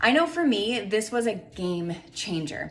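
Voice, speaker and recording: With noticeable background noise and audible room echo, a woman speaks in a fairly high voice. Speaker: fitness and nutrition coach. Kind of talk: promotional talk to camera.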